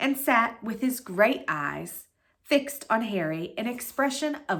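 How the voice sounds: Lively intonation in a natural reading voice, over a quiet background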